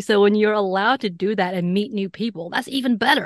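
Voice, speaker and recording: A woman's medium-pitched voice, dry and close with no echo, over a quiet background, an ordinary speaking voice with ordinary pitch variation. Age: 40s. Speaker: podcast host and author. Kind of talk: interview.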